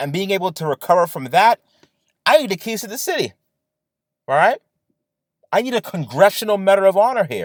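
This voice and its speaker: An animated man speaks at a fairly quick pace in a high pitch, with very wide pitch swings and long, frequent pauses. The sound is dry and close, with no echo. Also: big swings in loudness. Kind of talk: casual talk to camera. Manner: ranting, animated.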